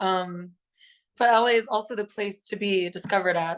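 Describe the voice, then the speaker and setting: The pace is moderate. The background is quiet. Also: woman. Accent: Californian. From California, Los Angeles. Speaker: singer in a rock band. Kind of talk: casual interview.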